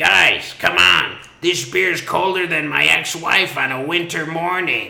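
A man in a put-on character voice, high-pitched for a man, at a fairly slow pace. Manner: serious, earnest.

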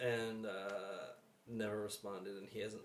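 This is a man speaking. He has an American accent. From New Jersey. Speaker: navy veteran. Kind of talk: casual chat. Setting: studio.

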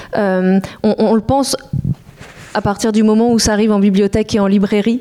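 A woman's voice of medium pitch, an ordinary speaking voice with fairly even intonation at a moderate pace. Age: 30s. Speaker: comics editor. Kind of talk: panel discussion.

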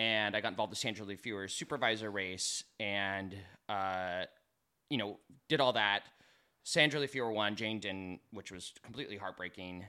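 The recording is very clean with a silent background, carrying a man's fairly low-pitched voice with a bright, sharp tone. He varies his pitch in an ordinary way and keeps a moderate pace. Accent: American. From California, Sonora and Hollister. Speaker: political activist and drag performer. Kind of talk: casual interview. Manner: hesitant, many fillers.

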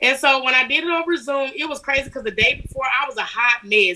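A woman speaks very fast with an American accent, her high-pitched voice raised and projected, animated and upbeat, bright and sharp, with ordinary pitch variation. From Alabama, US South. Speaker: business owner. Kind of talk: casual interview chat. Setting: video call. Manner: animated, upbeat.

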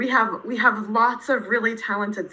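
A woman with an American accent speaks at a moderate pace in a plain, everyday voice, her pitch fairly high. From central Pennsylvania, US. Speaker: university lecturer. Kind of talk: interview.

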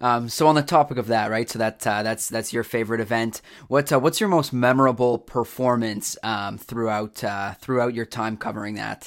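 With a Canadian accent, a man uses a plain, everyday voice at medium pitch, speaking at a moderate pace with fairly even intonation and hardly any pauses. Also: very clean recording, silent background. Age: 20s. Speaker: podcast host. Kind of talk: casual interview. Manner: many filler words.

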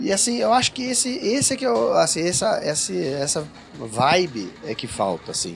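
Over music in the background, someone speaks at a moderate pace with very wide pitch swings. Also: man, fairly high pitch for a man. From Brazil, São Paulo. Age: 40s. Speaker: rock singer and guitarist. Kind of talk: casual chat. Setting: studio.

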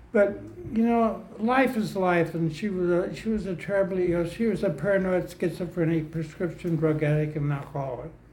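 Here a man speaks at a fairly quick pace. His pitch is high, with ordinary variation. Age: 80s+. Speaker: recovering alcoholic speaker. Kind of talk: testimony. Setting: stage with audience. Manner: halting.

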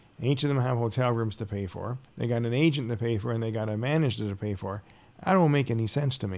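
Speaking at a fairly quick pace with a Canadian accent, a man uses an unremarkable speaking voice at medium pitch with ordinary pitch variation. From Ontario, Canada. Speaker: concert promoter. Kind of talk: casual chat.

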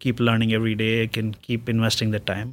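A man at a medium pitch talks at a fairly quick pace in a very clean recording with a silent background. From India. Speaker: technical project manager. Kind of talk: interview.

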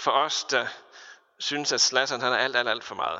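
With an ordinary speaking voice, a man talks at a fairly quick pace with a medium pitch. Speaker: pastor. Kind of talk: sermon.

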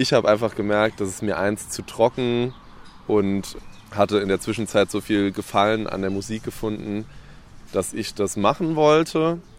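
At a moderate pace, a man speaks with a fairly low pitch over noticeable background noise. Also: ordinary pitch variation. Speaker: rapper. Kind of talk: casual chat. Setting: outdoors.

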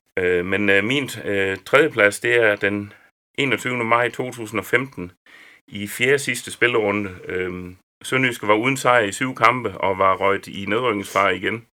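On a very clean recording with a silent background, a man with a fairly low pitch and a bright, sharp tone speaks at a very slow pace with ordinary pitch variation. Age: old. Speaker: sports journalist. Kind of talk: casual chat.

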